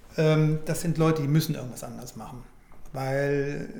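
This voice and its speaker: Moderate-paced speech from a man, set against noticeable noise and an audible echo off the room. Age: 60s. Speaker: financial services director. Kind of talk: interview.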